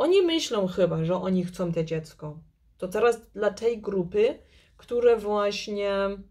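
Against a quiet background, a woman with a dark, mellow tone speaks at a fairly slow pace. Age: 40s. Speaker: tarot reader and YouTube channel host. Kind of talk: tarot card reading video. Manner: halting, hesitant, with filler words. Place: home room. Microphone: phone near.

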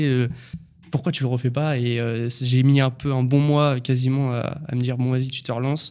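Against a quiet background, a man speaks with medium pitch at a fairly quick pace in a monotone, flat intonation. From Normandy, France. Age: 20s. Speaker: construction site manager; podcast guest. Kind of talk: casual chat. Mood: relaxed, smiling. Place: studio. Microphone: studio mic.

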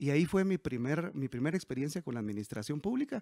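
A man's dark, mellow voice at a fairly high pitch, with lively intonation and a dry, echo-free sound. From Guatemala, Quetzaltenango; Guatemala. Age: 40s. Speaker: mayoral candidate; candidate. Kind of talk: interview. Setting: at home. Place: home room. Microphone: handheld.

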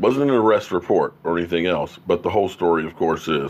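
With ordinary pitch variation, a man speaks at a fairly quick speed. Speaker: sports fan show host. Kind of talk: commentary. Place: home room. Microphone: studio mic.

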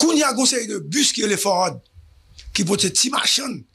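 With lively intonation and a bright, sharp tone, a man speaks over a quiet background. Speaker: news show host. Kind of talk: news commentary. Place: studio. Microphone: studio mic.

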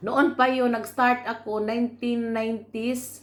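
This is a woman's voice. Her pitch is fairly high. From Philippines, Camotes Islands (Cebu). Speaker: vlogger. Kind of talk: casual vlog talk. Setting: at home eating.

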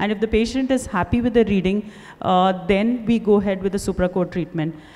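Her tone is dark and mellow. The woman talks at a fairly quick pace with ordinary pitch variation. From India. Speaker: eye surgeon. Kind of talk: panel discussion. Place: hall. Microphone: handheld.

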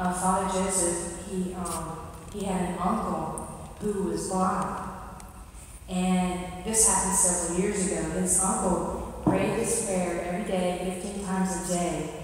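The speech comes at a fairly slow pace with monotone, flat intonation. Strong room echo surrounds it, along with light background noise. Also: woman. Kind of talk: church talk to a congregation. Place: church.

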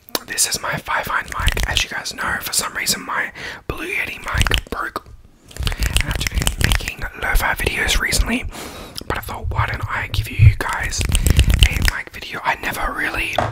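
A man at a moderate pace over loud background noise. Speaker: ASMR creator. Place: home room. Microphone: studio mic.

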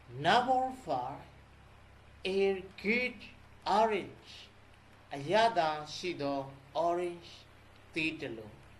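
The speech comes at a very slow pace broken by long, frequent pauses. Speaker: English teacher. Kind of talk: tutorial.

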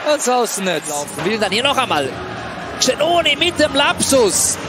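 A man speaks with lively intonation and very even loudness, leaving long, frequent pauses. Noticeable background noise runs underneath. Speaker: ice hockey commentator. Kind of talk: live sports commentary on ice hockey highlights.

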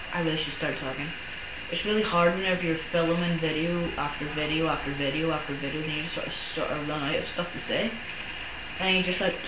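The speech moves at a moderate pace under loud background noise. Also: man. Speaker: gamer. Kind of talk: casual gameplay commentary. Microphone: camera far.

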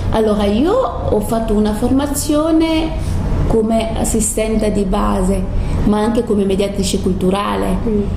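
A woman's fairly high voice at a fairly slow pace over noticeable background noise. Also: ordinary pitch variation. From Senegal. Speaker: cultural mediator. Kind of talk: interview answer. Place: home room. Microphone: camera far.

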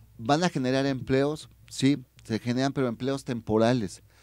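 Recorded dry with no echo against a quiet background, a man talks at a moderate pace with ordinary pitch variation. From Mexico, Tehuacán, Puebla; Puebla, Mexico. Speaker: human rights and labor activist; guest. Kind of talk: radio interview. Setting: radio studio. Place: studio. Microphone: studio mic.

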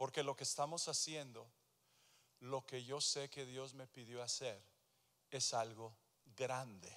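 A man with a bright, sharp tone speaks at a very slow pace, with long, frequent pauses and fairly even intonation. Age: 60s. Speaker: pastor. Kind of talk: sermon. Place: church. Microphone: handheld.

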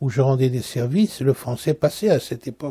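Somewhat breathy with a dark, mellow tone, a man speaks at a medium pitch. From Central Africa (eastern Belgian Congo). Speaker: Orthodox metropolitan bishop. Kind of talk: interview reminiscence. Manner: halting, frequent hesitations.

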